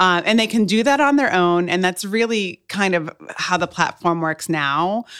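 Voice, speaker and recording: A woman with an American accent and an unremarkable speaking voice talks at a moderate pace in a medium pitch, her intonation lively and her loudness very even, on a very clean recording with a silent background. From Cape Cod, Massachusetts. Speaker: startup founder. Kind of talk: podcast interview.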